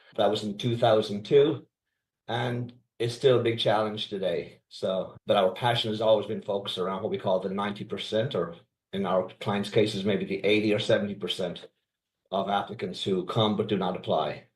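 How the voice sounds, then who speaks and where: A man speaks in a fairly low, somewhat breathy voice at a moderate pace. His intonation stays fairly even. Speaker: company founder. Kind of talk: interview.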